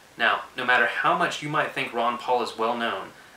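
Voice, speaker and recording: Audible room echo and noticeable background noise surround a man who talks at a very fast pace with fairly even intonation. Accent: American. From Texas, Austin. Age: 20s. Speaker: political video blogger. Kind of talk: prepared political commentary monologue.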